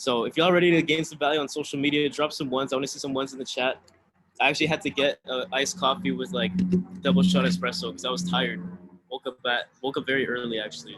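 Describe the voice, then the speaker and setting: The voice moves at a very fast pace, with vocal fry and lively intonation. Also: man, fairly high pitch for a man. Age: 20s. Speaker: online business coach. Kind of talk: webinar presentation.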